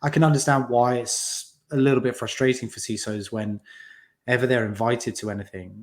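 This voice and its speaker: A man with a British accent and hardly any pauses, in a very clean recording with a silent background. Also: medium pitch for a man, moderate pace, big swings in loudness. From UK. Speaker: community founder in cybersecurity. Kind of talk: podcast interview. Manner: hesitant, many fillers.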